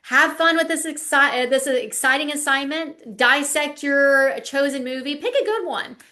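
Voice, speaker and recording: In a Southern US accent, a woman with a high, bright, sharp voice projects loudly at a moderate pace with ordinary pitch variation, and audible room echo surrounds her. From US South, South Carolina. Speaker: lecturer, former lawyer. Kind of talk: online lecture, casual wrap-up chat. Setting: video call class, working from home. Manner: chatty, animated.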